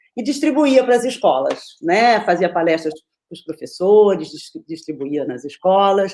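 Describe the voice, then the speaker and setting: A woman speaks at a fairly slow pace in a medium pitch with a dark, mellow tone. Her pitch swings very widely. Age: 40s. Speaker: children's film festival organizer and moderator. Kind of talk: opening remarks of an online panel.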